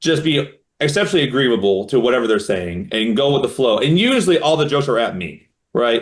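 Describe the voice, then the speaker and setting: The voice is loud, with very wide pitch swings. The pace is fairly quick. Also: man. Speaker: magician. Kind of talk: interview.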